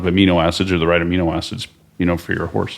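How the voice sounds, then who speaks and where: With an American accent, a man speaks at a fairly quick pace. His very deep, low voice stays monotone and flat. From Oklahoma. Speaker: supplement company president. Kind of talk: podcast interview.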